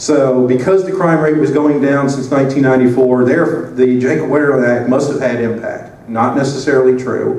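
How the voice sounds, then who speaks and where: A man with a Southern US accent and medium pitch, at a moderate pace with hardly any pauses and fairly even intonation, amid noticeable background noise and audible room echo. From US South. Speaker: conference speaker. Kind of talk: conference talk. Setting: conference stage with audience.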